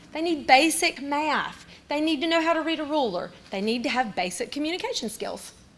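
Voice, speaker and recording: A woman with a Southern US accent speaks loudly at a high pitch and a fairly quick pace, with very wide pitch swings. Noticeable background noise runs underneath. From North Carolina, Caldwell County. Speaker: teacher. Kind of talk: presentation.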